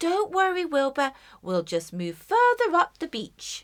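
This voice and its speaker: In a put-on character voice, a woman speaks fairly slowly at an extremely high pitch. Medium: read story.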